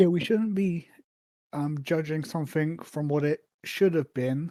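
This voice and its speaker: The man's voice is quiet, with a fairly high pitch and a dark, mellow tone. He talks at a moderate pace in a very clean recording with a silent background. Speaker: podcast host. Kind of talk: casual chat. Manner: quiet, reserved.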